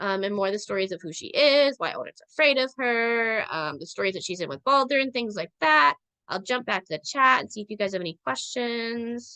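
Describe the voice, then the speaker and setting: Her voice fairly high and her tone bright and sharp, a woman with an American accent talks at a fairly quick pace with very wide pitch swings, in a dry, close sound with no echo. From Central Minnesota, US. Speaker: online spirituality teacher. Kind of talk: online lecture. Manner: fast; filler-heavy, repetitive.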